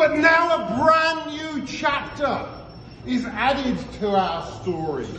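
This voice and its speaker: In a room with audible echo and light background noise, a man with a high pitch speaks at a very slow pace with very wide pitch swings. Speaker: town crier. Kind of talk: town crier proclamation, rhymed verse. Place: bar. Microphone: camera far.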